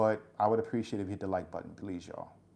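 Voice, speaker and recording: Against a quiet background, a man talks at a very fast pace. His pitch is fairly low and his tone dark and mellow. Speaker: YouTube livestream host. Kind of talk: casual livestream chat. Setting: livestream. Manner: calm.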